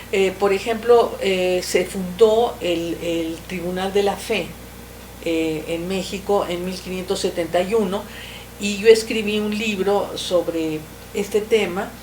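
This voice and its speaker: Amid noticeable background noise and audible room echo, a woman of medium pitch speaks at a very slow pace with fairly even intonation. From Mexico. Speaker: writer, historical novelist. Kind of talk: interview. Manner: halting, with frequent fillers.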